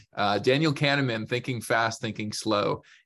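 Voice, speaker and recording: In a very clean recording with a silent background, a man with a plain, everyday voice and a Canadian accent speaks at a fairly quick pace with ordinary pitch variation. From Canada. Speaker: business consultant and author. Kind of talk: interview conversation.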